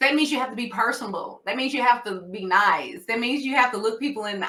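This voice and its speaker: In a Southern US accent, a woman speaks with a bright, sharp tone and ordinary pitch variation. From US South. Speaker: nurse practitioner and diabetes educator. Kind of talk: educational talk. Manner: casual conversational.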